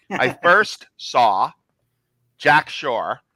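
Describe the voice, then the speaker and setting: A man talks with a New Jersey accent in a bright, sharp tone. The sound is dry and close, with no echo. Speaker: MMA betting analyst. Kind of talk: casual chat.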